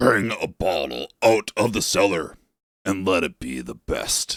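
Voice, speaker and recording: Raspy and fairly low, a man's put-on character voice moves slowly with very wide pitch swings in a dry, close recording with no echo. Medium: read story.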